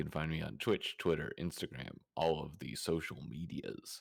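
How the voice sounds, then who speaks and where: A man's very deep, low voice carries vocal fry and ordinary pitch variation at a fairly slow pace. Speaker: tabletop RPG player. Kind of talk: casual chat.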